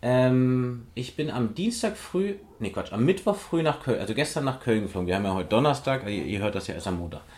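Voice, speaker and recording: At a fairly quick pace, a man speaks with hardly any pauses. His medium-pitched voice swings very widely in pitch. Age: 40s. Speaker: physiotherapist and osteopath in training, podcast co-host. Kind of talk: casual chat.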